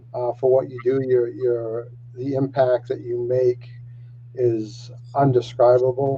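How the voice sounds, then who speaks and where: Very slowly, a man speaks at medium pitch in a dark, mellow tone that is somewhat breathy and flat, monotone in intonation. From Maine, Penobscot Nation. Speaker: youth program worker. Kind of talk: panel introduction.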